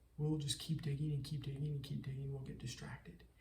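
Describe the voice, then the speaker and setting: A fairly high-pitched man speaks. Audible room echo surrounds his voice. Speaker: entrepreneur vlogger. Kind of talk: casual vlog monologue. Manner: fast, stuttering at times.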